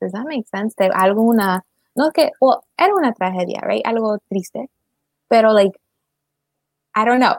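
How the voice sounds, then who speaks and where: At a moderate pace with long, frequent pauses, the speaker uses lively intonation, recorded with a dry, close sound and no echo. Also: woman, fairly high pitch for a woman. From Maryland, US, Salvadoran and Ecuadorian parents. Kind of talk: casual livestream conversation.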